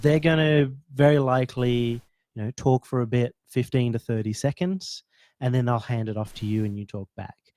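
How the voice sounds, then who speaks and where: In a very clean recording with a silent background and a dry, close sound with no echo, a voice with an Australian accent moves at a moderate pace with ordinary pitch variation. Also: man. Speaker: esports caster. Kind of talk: casual coaching chat.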